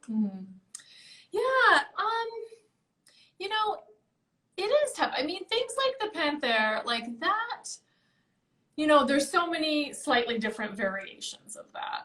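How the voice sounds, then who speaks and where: With a raised, projected voice at an extremely high pitch, a woman speaks very slowly in a bright, sharp tone, her pitch swinging very widely between long, frequent pauses. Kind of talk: casual interview answer about auction results.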